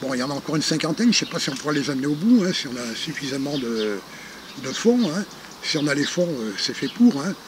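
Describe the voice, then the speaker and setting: A man talking at a fairly quick pace, lively intonation, noticeable background noise behind him. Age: 60s. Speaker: retired charity founder. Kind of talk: interview. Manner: hesitant, many fillers.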